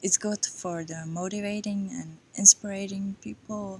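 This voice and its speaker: Somewhat breathy, a woman with a non-native accent speaks at a very slow pace with ordinary pitch variation. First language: not English. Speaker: yoga vlogger. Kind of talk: personal vlog monologue. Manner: halting.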